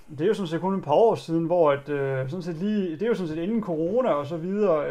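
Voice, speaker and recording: A man's high-pitched voice with a dark, mellow tone at a very fast pace. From Denmark, Djursland (East Jutland). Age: 30s. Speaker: author sharing personal story of addiction. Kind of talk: personal testimony in interview. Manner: halting, many fillers.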